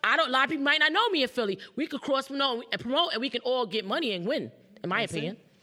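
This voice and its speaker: Over noticeable background noise, the speaker talks at a very fast pace in an animated tone, with very wide pitch swings. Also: woman, high pitch for a woman. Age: 30s. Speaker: entrepreneur and TV personality. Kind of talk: live interview. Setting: live event with audience.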